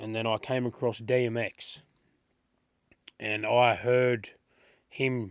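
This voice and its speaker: A man with an Australian accent speaks at a medium pitch in a monotone, flat intonation. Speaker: rapper. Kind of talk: interview. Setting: studio.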